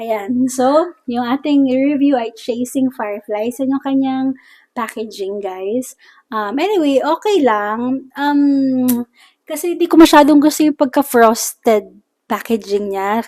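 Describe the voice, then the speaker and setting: At a fairly slow pace, a woman speaks in a high voice with ordinary pitch variation on a very clean recording with a silent background. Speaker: beauty product reviewer. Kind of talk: casual product review chat.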